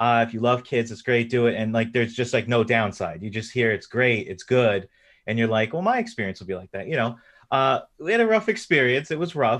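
A man speaks fairly quickly with an unremarkable speaking voice. His pitch is medium, and it varies in an ordinary way. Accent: American. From US East Coast, New York. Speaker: indie game developer. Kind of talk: casual interview chat.

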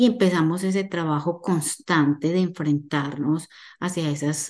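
A woman speaks with a very deep, low pitch and a dark, mellow tone. Her intonation is fairly even, and the background is quiet. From Colombia, Medellín. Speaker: holistic therapist and numerologist. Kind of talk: casual interview chat.

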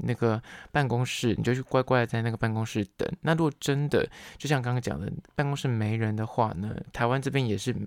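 A man with a plain, everyday voice, medium pitch, and ordinary pitch variation, at a fairly quick pace, on a very clean, dry, close recording with no echo and a silent background. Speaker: podcast host. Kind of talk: solo podcast talk.

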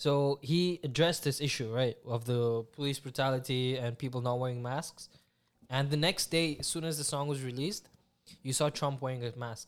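At a moderate pace, an unremarkable speaking voice carries fairly even intonation on a very clean recording with a silent background. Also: man, medium pitch for a man. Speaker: podcast host. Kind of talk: casual chat.

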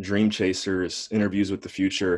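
This man's voice sits fairly low in pitch. The background is quiet. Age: 20s. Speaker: investor relations specialist and podcast host. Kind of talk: interview.

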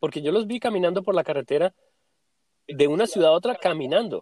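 Heard with a dry, close sound and no echo, a man with a high pitch speaks at a fairly quick pace with lively intonation. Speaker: podcast host. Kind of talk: casual chat.

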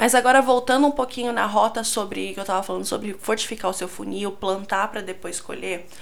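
This woman speaks at a fairly quick pace with hardly any pauses, using a medium pitch, ordinary pitch variation and some vocal fry. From Brazil, São Paulo. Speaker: podcast host, marketing consultant. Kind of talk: solo podcast tutorial.

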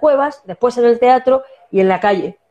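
Speaking with a La Mancha accent, a woman with a high pitch and a dark, mellow tone talks at a moderate pace. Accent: Manchego Spanish. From La Mancha, Spain. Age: 50s. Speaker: actress and singer. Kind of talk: casual interview.

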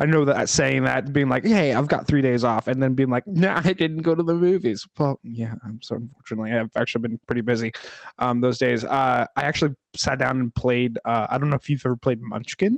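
A man with a normal speaking voice talks at a moderate pace and medium pitch. His pitch varies in an ordinary way, and the sound is dry and close with no echo. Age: 30s. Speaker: movie podcast co-host. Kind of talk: casual chat.

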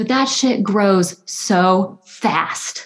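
This is a woman's medium-pitched voice with ordinary pitch variation. She has an American accent. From US South, north Alabama. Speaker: photographer and art history student. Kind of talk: casual interview.

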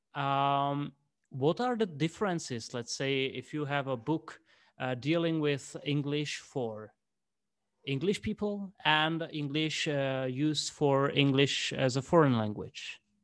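A man's fairly high voice in a Czech accent, very slow, with ordinary pitch variation, on a very clean recording with a silent background. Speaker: English teacher, interviewer. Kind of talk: interview. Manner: halting.

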